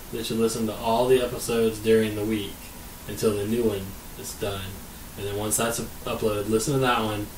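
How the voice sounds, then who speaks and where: With noticeable background noise and audible room echo, a man speaks at a fairly quick pace in a medium-pitched, monotone, flat voice. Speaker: podcast co-host. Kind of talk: casual chat. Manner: usually quiet, doesn't speak up.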